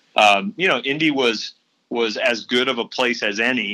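The speaker is a man with an American accent and a bright, sharp tone. His pace is fairly quick. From St. Louis, Missouri, US Midwest. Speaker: venture capital investor. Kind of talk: podcast interview. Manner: halting, many fillers and repeated words.

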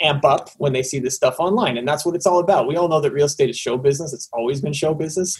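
A man talks at a very fast pace with a Canadian accent. His voice is somewhat breathy. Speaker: tech company guest, former advertising founder. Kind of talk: casual interview chat. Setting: video call.

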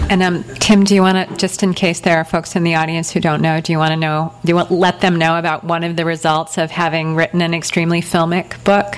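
Through noticeable background noise, a woman with a fairly low pitch talks at a very fast pace in a monotone, flat intonation with hardly any pauses. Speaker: writer and teacher interviewer. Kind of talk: onstage interview. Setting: bookstore event.

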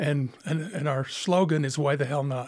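At a moderate pace, a man with a fairly high voice and an American accent speaks in a very clean recording with a silent background. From Utah, Monticello. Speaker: retired prison school principal. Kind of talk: interview. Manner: halting.

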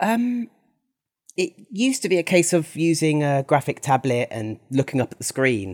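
A man with a British accent speaks at a moderate pace with very wide pitch swings, in a dry, close sound with no echo on a very clean recording with a silent background. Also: fairly high pitch for a man. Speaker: artist and esports commentator. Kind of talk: casual chat.

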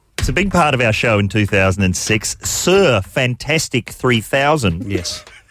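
Speaking at a very slow pace with an Australian accent, a man keeps a medium pitch and very even loudness while his pitch swings very widely. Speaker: radio host. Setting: studio.

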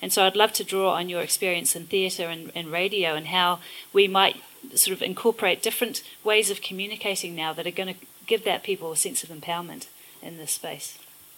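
Speaking fairly quickly with a New Zealand accent, a woman keeps a medium pitch and fairly even intonation while her loudness swings a lot. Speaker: moderator and professor. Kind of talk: moderated onstage conversation. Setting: stage with audience.

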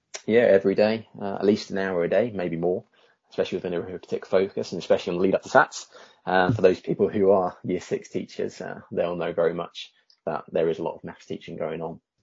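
A man with an English accent speaks at a very fast pace. His loudness swings widely. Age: 30s. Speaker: teacher. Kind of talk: interview. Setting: video call.

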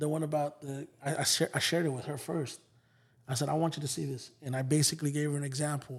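Talking at a very fast pace, a man with an American accent has a fairly high pitch, a somewhat breathy voice and monotone, flat intonation. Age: 30s. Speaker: music promoter and hip hop artist. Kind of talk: casual interview chat.

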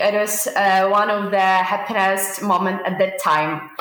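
In a Ukrainian accent, a woman talks at a fairly slow pace with a medium pitch. Her tone is bright and sharp, and audible room echo surrounds it. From Ukraine. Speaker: veterinary student. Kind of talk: interview. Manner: halting, many fillers.

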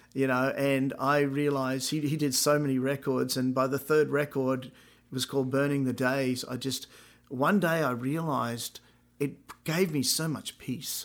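A man's medium-pitched voice with an Australian accent, monotone and flat, at a moderate pace. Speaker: podcast host and musician. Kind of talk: casual chat.

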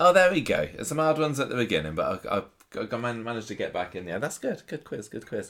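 A man at a medium pitch, very fast pace, very wide pitch swings and vocal fry. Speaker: podcast host. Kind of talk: casual chat.

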